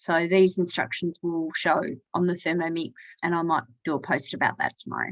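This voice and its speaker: A woman's fairly low voice at a moderate pace, with a dry, close sound with no echo and a quiet background. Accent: Australian. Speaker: cooking demonstrator. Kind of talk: tutorial. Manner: casual with fillers.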